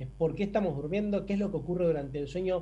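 A man talks in a dark, mellow tone. Room echo is audible in the recording. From Argentina, Buenos Aires. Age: 40s. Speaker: sleep medicine doctor. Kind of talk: interview.

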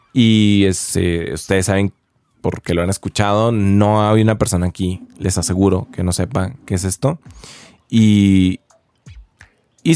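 The recording has a dry, close sound with no echo. A man is speaking. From Mexico, Chihuahua. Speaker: podcaster. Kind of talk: casual monologue. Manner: hesitant, repeats words.

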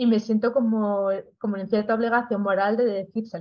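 The pace is moderate. It is an ordinary speaking voice. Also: woman. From Spain, León. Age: 40s. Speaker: proofreader and creative writing teacher. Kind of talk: casual interview.

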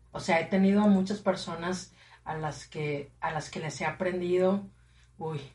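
At a fairly slow pace, a woman speaks in a fairly low, somewhat breathy voice with fairly even intonation and big swings in loudness. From Matamoros, Mexico. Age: 30s. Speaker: radio presenter. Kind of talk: casual chat.

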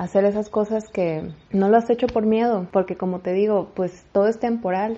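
This woman has a plain, everyday voice, fairly high in pitch, and talks at a moderate pace with fairly even intonation. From Mexico. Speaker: faith podcaster. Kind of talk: inspirational monologue.

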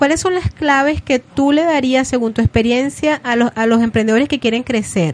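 Noticeable background noise behind a dry, close sound with no echo, plus a moderate pace, ordinary pitch variation and very even loudness. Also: woman, high pitch for a woman. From Venezuela. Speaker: radio host. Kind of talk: radio show.

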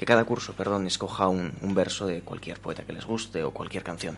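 Fairly low in pitch, a man speaks in an ordinary speaking voice with fairly even intonation. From Spain, San Mateo area. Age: young. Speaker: poet. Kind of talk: interview.

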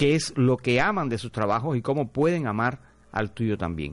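In an ordinary speaking voice, a man talks at a fairly slow pace with ordinary pitch variation over a quiet background. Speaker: radio host. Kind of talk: casual radio talk show. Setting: radio studio.

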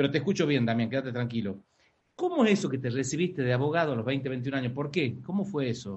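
Talking at a very fast pace, a man with an Argentine accent sounds somewhat breathy and uses lively intonation. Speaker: podcast host. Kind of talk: interview.

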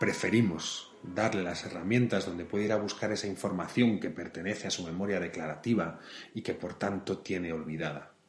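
Very deep, low male voice at a fairly quick pace with fairly even intonation over noticeable background noise. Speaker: podcast host for an elderly care company. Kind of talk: scripted narration.

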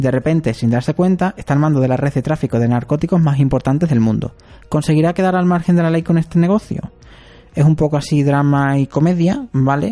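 In an ordinary speaking voice, a man talks at a fairly quick pace and fairly high pitch, with ordinary pitch variation and very even loudness. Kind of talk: scripted narration; casual chat.

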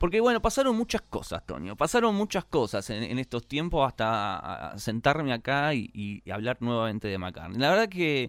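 A man with a Rioplatense accent talks at a moderate pace, with hardly any pauses. His medium pitch swings very widely. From Argentina. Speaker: podcast host. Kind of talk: casual chat.

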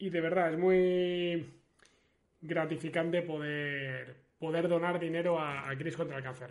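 Against audible room echo, a man with a high voice speaks at a fairly slow pace in a monotone, flat intonation. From Spain, León. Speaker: sports streamer. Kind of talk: casual livestream chat. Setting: livestream.

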